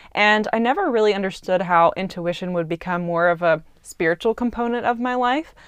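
Against a quiet background, a woman with a normal speaking voice talks at a medium pitch and a fairly quick pace, with ordinary pitch variation and hardly any pauses. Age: 20s. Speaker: podcast host. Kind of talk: solo reflective monologue.

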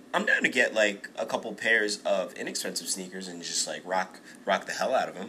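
A man at a fairly quick pace, with big swings in loudness, over noticeable background noise. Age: 30s. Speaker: podcast host. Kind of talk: casual chat. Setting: recorded live.

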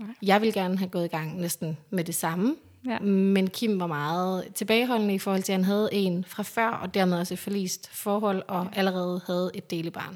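At a moderate pace, a woman speaks at medium pitch with fairly even intonation. She has an ordinary speaking voice. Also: hardly any pauses. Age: 30s. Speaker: interviewee sharing fertility story. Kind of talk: personal testimony. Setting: at home.

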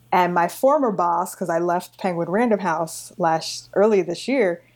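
With an American accent, a woman speaks at a moderate pace in an ordinary speaking voice, fairly low in pitch, on a very clean recording with a silent background. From New York City (Long Island, Queens). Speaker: book editor and podcast host. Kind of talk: interview conversation.

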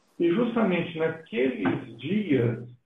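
At a very slow pace, a man with a fairly high pitch speaks with lively intonation. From Brazil, Belo Horizonte. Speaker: pastor and missionary. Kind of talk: interview in a live stream.

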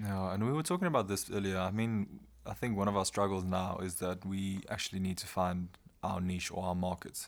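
A man with a South African accent speaks fairly quickly in a very deep, low voice. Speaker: law student, podcast host. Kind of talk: casual chat.

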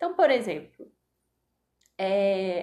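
The woman's pitch moves through very wide swings. Her pace is very slow. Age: 20s. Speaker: physician, integrative medicine and yoga teacher. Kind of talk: interview conversation.

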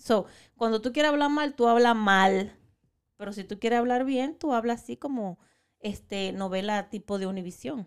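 On a very clean recording with a silent background, a woman with a fairly high pitch and an animated tone speaks at a moderate pace with ordinary pitch variation. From Dominican Republic. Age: 40s. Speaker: podcast co-host. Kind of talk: casual chat.

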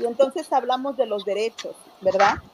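A woman talks at a moderate pace with a fairly high pitch. Noticeable background noise can be heard. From Mexico. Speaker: community health worker. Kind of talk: interview conversation. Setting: video call.

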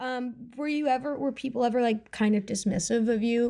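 Fairly high-pitched, somewhat breathy woman's voice with a dark, mellow tone, moderate pace, and a quiet background. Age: 20s. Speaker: podcast host. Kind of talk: casual chat.

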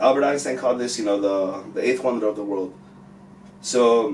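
Speaking at a fairly quick pace, a man with a medium pitch talks in an American accent. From Mexican American household, US. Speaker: music manager and finance educator. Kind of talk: casual chat.

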